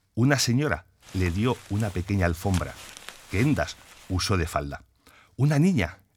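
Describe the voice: Someone does plain reading aloud. The intonation is lively.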